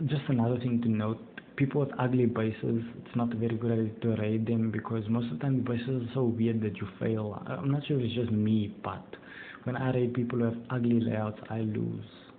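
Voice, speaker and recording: With noticeable background noise behind him, a man talks at a fairly quick pace in a medium pitch with monotone, flat intonation. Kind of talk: casual gameplay commentary.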